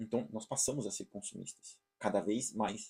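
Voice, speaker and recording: A man speaks fairly quickly in a somewhat breathy voice. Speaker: online course teacher. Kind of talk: lecture. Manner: fast; hesitant, repeats words.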